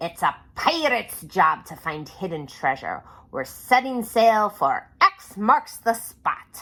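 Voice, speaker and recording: A female-sounding voice puts on a character at a fairly high pitch. She goes at a fairly slow pace with very wide pitch swings. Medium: read story.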